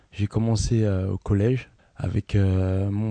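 In a dark, mellow tone, a man speaks very slowly at a fairly low pitch with monotone, flat intonation. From Paris region, France. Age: 20s. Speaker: handball player. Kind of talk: interview with children. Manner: hesitant, many fillers.

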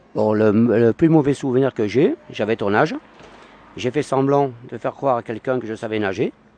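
At a moderate pace, a man with a medium pitch, ordinary pitch variation and a dark, mellow tone speaks in a dry, close sound with no echo. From Paris. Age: 50s. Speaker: passer-by. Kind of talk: street interview. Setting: outdoors.

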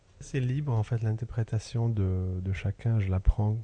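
A man's somewhat breathy voice with a dark, mellow tone, fairly even intonation and a fairly slow pace. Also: dry, close sound with no echo. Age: 30s. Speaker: sculptor. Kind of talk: interview. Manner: halting, searching for words.

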